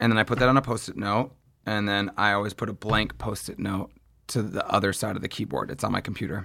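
The recording is very clean with a silent background. A man talks at a very fast pace with a fairly low pitch and vocal fry. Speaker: fitness instructor. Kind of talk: interview.

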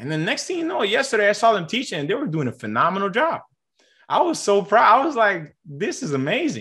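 Raising and projecting his voice, a man talks fairly quickly at a high pitch, his tone bright and sharp and his pitch swinging very widely. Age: 20s. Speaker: math tutor and tutoring business owner. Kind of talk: interview.

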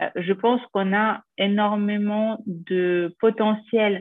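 A woman speaks with fairly even intonation. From Ukraine. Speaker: politician. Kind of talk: interview.

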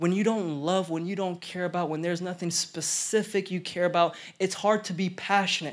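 A man speaks in an animated tone with a high pitch and an American accent. The recording is very clean, with a silent background. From Oklahoma. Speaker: pastor. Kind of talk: sermon. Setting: church.

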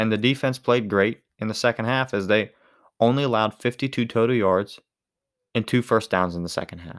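Speaking at a fairly quick pace, a man with a Pittsburgh accent comes through in a very clean recording with a silent background. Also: medium pitch for a man, ordinary pitch variation. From Western Pennsylvania. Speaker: podcast host and college student. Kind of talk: solo podcast monologue, sports reaction. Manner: casual, conversational.

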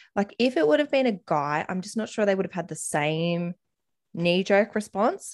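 A woman's animated, medium-pitched voice at a moderate pace, with very wide pitch swings, on a very clean recording with a silent background. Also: dry, close sound with no echo. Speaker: podcast host. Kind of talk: casual chat. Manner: animated, excitable.

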